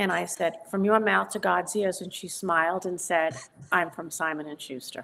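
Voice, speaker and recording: A woman with a New York accent and a fairly low pitch, at a moderate pace with fairly even intonation and big swings in loudness. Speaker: psychic medium and author. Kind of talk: interview conversation. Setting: studio.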